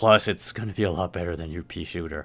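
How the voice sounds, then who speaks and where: A put-on character voice from a man, very deep and low, delivered at a very fast pace on a very clean recording with a silent background. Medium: actual play. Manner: blunt, dry.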